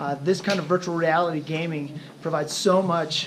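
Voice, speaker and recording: The man's voice has a high pitch. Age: 40s. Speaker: teacher. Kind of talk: presentation.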